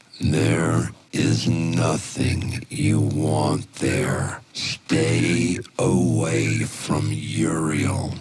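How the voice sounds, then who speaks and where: Putting on a character voice, a man speaks very slowly at a very deep, low pitch with a raspy sound. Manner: menacing, warning.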